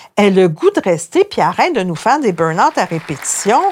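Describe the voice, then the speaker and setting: The speaker, a woman, talks at a moderate pace. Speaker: journalist and columnist. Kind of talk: interview.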